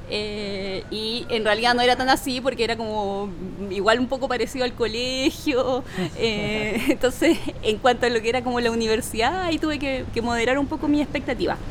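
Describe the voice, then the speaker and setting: Over noticeable background noise, a woman talks at a moderate pace in a high pitch. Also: ordinary pitch variation. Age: 30s. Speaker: public policy and entrepreneurship specialist. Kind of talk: interview. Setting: coworking space.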